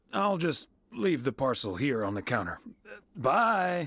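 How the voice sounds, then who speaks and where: Putting on a raspy character voice, a man at medium pitch talks at a fairly slow pace with very wide pitch swings. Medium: video game.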